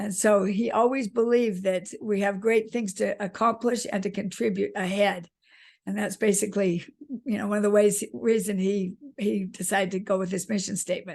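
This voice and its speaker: A woman with an ordinary speaking voice talks at a moderate pace and medium pitch, with fairly even intonation over a quiet background. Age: 60s. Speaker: author. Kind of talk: interview.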